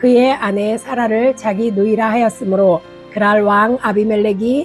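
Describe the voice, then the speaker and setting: Music plays behind a woman speaking at a moderate pace. Her pitch is fairly high and her intonation fairly even. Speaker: church deaconess. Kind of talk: Bible reading.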